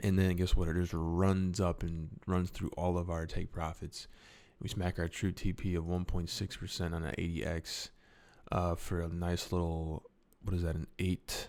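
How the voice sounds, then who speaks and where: A man with a very deep, low pitch talks at a moderate pace in a monotone, flat intonation. The recording is very clean with a silent background. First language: not English. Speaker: crypto trading youtuber. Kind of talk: trading tutorial.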